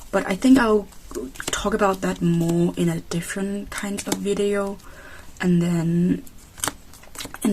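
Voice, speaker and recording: Against noticeable background noise, a woman with a medium pitch talks at a fairly slow pace. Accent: non-native. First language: not English. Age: 20s. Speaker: K-pop photocard collector vlogger. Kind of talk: casual vlog. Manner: halting.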